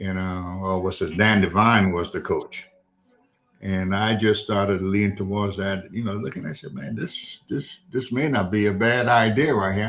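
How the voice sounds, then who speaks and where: In a South Carolina Lowcountry accent, a man speaks at a moderate pace. His pitch is fairly low with ordinary variation. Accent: Southern US (South Carolina Lowcountry). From South Carolina, Charleston. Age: 70s. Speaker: retired football coach and school administrator. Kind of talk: interview. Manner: halting, many fillers.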